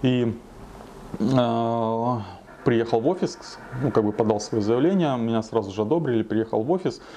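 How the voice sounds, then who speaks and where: A man talks at a medium pitch and moderate pace, with ordinary pitch variation and very even loudness. Long, frequent pauses break up his speech over light background noise. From Krasnodar Krai, southern Russia. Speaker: bodybuilder and fitness blogger. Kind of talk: interview, personal storytelling. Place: kitchen.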